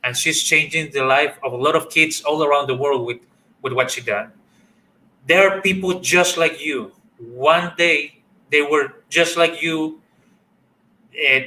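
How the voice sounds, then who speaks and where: A man with a Spanish accent speaks in a bright, sharp tone at a fairly high pitch and a fairly slow pace, with ordinary pitch variation and long, frequent pauses. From Chile. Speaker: workshop facilitator. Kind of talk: online workshop talk. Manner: halting.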